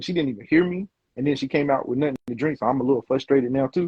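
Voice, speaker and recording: Somewhat breathy, this man's fairly high voice shows ordinary pitch variation. He talks at a very fast pace. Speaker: podcast host. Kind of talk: casual chat. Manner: calm.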